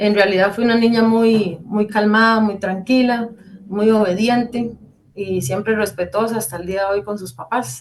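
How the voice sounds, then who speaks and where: A woman's voice at medium pitch, with ordinary pitch variation and a moderate pace. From Costa Rica, Heredia. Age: 30s. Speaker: church member giving testimony. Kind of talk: testimony. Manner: hesitant, many fillers.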